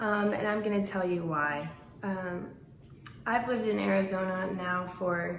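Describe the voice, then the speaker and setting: A woman speaks very slowly at a medium pitch, with noticeable background noise and audible room echo. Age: 20s. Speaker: vlogger. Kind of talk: storytime vlog.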